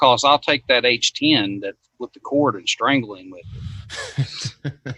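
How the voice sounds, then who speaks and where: A man with a Southern US accent, medium pitch and ordinary pitch variation, a bright, sharp tone and big swings in loudness, fairly slow with long, frequent pauses, in a dry, close sound with no echo. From US South. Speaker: HVAC technician. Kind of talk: casual chat.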